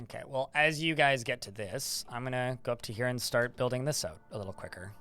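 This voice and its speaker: Music plays in the background as a man with a medium pitch speaks at a fairly quick pace with ordinary pitch variation. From Canada. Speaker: video game streamer. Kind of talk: live gameplay stream chat. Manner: fast.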